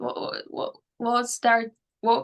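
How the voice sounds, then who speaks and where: A woman speaks with a Polish accent at a high pitch. Her tone is bright and sharp. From Poland. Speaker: mental performance coach. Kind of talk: interview. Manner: hesitant, many fillers.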